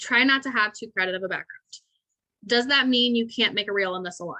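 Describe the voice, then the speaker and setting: Her tone is bright and sharp, with ordinary pitch variation, as a woman talks at a very fast pace. The sound is dry and close, with no echo. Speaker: salon owner teaching a marketing webinar. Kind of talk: webinar presentation. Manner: animated.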